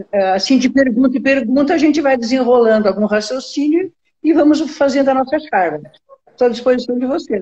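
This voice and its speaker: Her high-pitched voice carries ordinary pitch variation as this woman speaks. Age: 70s. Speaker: labour lawyer. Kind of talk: interview. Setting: live stream. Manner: hesitant.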